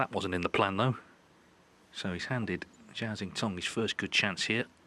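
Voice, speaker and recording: Quiet and fairly low-pitched, this man's voice has a bright, sharp tone and fairly even intonation. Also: moderate pace. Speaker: snooker commentator. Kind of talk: live commentary. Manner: quiet, hushed.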